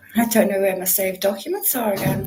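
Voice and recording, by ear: A woman talks at a moderate pace in a medium pitch, her tone slightly mellow with ordinary pitch variation. Audible room echo surrounds her voice.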